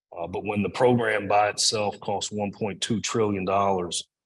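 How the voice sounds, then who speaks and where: With a Kentucky accent, a man at a fairly low pitch speaks at a moderate pace in a monotone, flat intonation. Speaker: agricultural policy expert. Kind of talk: Q&A answers at a talk. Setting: in-person event streamed on Zoom.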